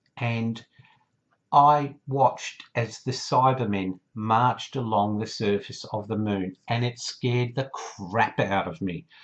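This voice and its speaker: Here a man speaks at a very slow pace with ordinary pitch variation. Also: medium pitch for a man. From Australia. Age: 50s. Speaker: YouTuber, TV fan. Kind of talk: casual vlog monologue. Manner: chatty.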